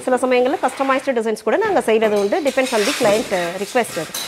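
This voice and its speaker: A high-pitched woman's voice with ordinary pitch variation, over noticeable background noise. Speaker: tile factory representative. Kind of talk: interview answer. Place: workshop.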